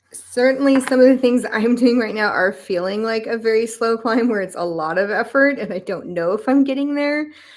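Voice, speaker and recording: A woman talks at a fairly quick pace with a fairly high pitch and ordinary pitch variation. Noticeable background noise is present. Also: hardly any pauses. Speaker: tarot card reader. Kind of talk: live stream deck flip-through and reading. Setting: live stream.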